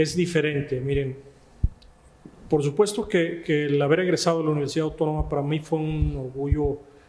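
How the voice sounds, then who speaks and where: A man speaks at a moderate pace in a fairly high pitch, his intonation fairly even. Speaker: notary and law professor. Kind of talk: interview. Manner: halting.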